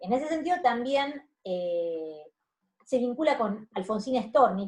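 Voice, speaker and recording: A somewhat breathy woman speaks with very wide pitch swings. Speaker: university lecturer. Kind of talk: lecture. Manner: hesitant, many fillers.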